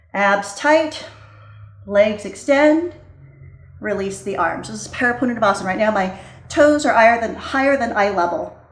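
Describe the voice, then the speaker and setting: A woman speaks at a moderate pace with lively intonation and long, frequent pauses. Audible room echo and noticeable background noise surround her voice. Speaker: yoga teacher. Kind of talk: guided yoga class instruction. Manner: calm, instructive.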